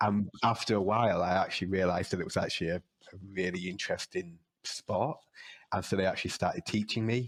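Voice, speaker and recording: With a Yorkshire accent, a man talks very fast at a fairly low pitch and fairly even intonation, in a dry, close sound with no echo. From northern England, York. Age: 30s. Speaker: wrestler and lecturer. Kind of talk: podcast interview. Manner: hesitant, many fillers.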